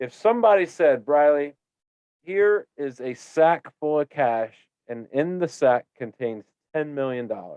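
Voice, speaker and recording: Recorded with a dry, close sound and no echo, a man with an unremarkable speaking voice and a fairly high pitch talks at a fairly slow pace with lively intonation. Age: 30s. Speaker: podcast host. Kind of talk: casual interview chat.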